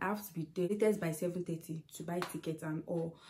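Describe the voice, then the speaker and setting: A woman's fairly low, somewhat breathy voice keeps a fairly even intonation. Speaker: vlogger. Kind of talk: casual vlog chat. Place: home room. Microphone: phone near.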